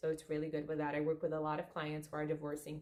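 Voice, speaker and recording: A woman with a Portuguese accent. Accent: non-native English, Portuguese. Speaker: spiritual coach, therapist. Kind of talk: casual video monologue. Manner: halting.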